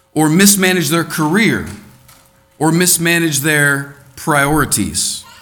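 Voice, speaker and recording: Over music in the background and audible room echo, a man with an American accent talks at a fairly slow pace in a high pitch. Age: 30s. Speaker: preacher. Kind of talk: sermon. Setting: church.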